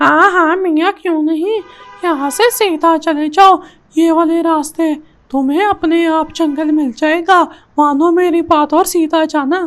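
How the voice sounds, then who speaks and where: The speaker uses a cartoonish character voice. The pace is fairly slow. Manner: sly, folksy, calls others 'miyan'.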